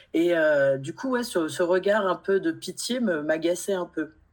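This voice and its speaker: A woman's fairly slow, lively speech against noticeable background noise. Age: 40s. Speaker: guest sharing personal grief story. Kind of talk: testimony.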